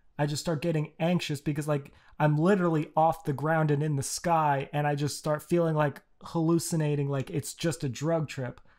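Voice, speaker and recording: Background silence marks this very clean recording. The speaking pace is moderate. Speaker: podcast host. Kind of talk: casual chat podcast. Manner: animated, talkative.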